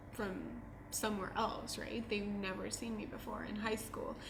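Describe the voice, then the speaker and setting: A woman with fairly even intonation, amid audible room echo and noticeable background noise. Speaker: student. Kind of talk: documentary interview.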